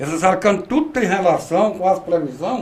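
A man at a fairly slow pace with lively intonation. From Ceará, Brazil (rural). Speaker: rain prophet and rural union leader. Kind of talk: interview.

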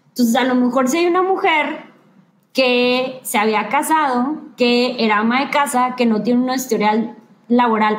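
A woman at a high pitch with ordinary pitch variation, speaking fairly slowly amid audible room echo. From northern Mexico, Ciudad Victoria, Tamaulipas. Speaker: lawyer and gender equity specialist. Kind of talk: live-streamed interview.

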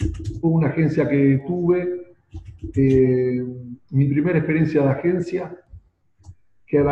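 At a fairly slow pace, a man with a fairly high pitch speaks in a somewhat breathy voice at very even loudness, with long, frequent pauses. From Argentina, Buenos Aires. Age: 50s. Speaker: marketing consultant. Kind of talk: interview.

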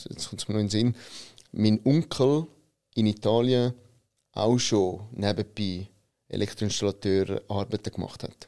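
This man has a fairly low pitch and ordinary pitch variation. He talks at a fairly slow pace. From Switzerland, Italian immigrant family. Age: 30s. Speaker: business consultant, company founder. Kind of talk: interview.

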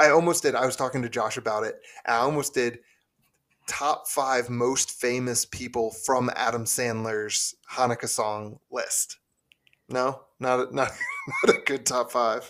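A man with an unremarkable speaking voice, medium pitch and fairly even intonation. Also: fairly slow pace. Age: 30s. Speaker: podcast host. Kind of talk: casual chat.

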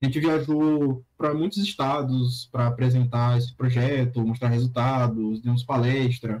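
A man with a normal speaking voice speaks at a fairly slow pace and medium pitch, his intonation fairly even, his loudness very even, and his pauses hardly any. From interior of Bahia, Brazil. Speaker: pharmacy student and language learner. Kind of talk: casual chat.

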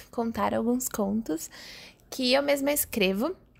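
At a fairly slow pace, a woman talks in a fairly high pitch. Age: 20s. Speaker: podcaster and media student. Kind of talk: casual monologue. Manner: hesitant, with fillers.

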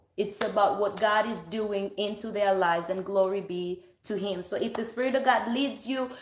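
Fairly even intonation marks this woman's moderate pace. Noticeable background noise is audible. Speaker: online service host. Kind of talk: welcoming greeting and prayer. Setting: online livestream.

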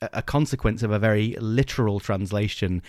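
This clip has someone reading aloud in a natural voice.

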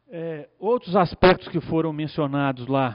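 A man is talking. The pitch variation in his voice is ordinary. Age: 50s. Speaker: lawyer. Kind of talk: conference talk. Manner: halting, many fillers.

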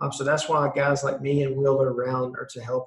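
Someone with a Southern US accent talks at a fairly quick pace. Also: man. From South Carolina, US. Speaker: entrepreneur. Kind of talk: interview. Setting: video call. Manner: animated.

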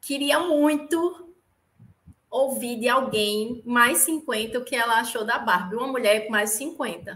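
A woman with a northeastern Brazilian accent, high pitch and a bright, sharp tone at a very slow pace. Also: ordinary pitch variation. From Natal, northeast Brazil. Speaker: podcast guest, fan of the show. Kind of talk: casual film discussion.

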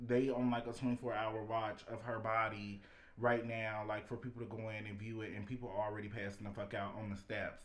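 Audible room echo surrounds a man whose medium-pitched voice is monotone and flat, at a moderate pace. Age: 20s. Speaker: podcast co-host. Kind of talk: casual chat.

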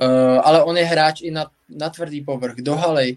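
A man speaks in an ordinary speaking voice. His pitch sits fairly high. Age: 20s. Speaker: tennis podcast host. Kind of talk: casual chat. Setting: live stream.

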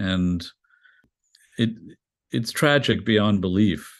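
Against a quiet background, a man with a fairly low pitch talks in fairly even intonation. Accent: New York. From New York City, Greenwich Village. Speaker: journalist and architecture critic. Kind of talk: interview.

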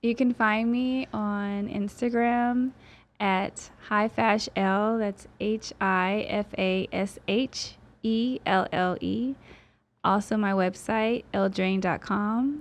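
A woman's fairly high voice at a very slow pace, fairly even in intonation, over a quiet background. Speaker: model and financial advisor. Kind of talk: casual interview.

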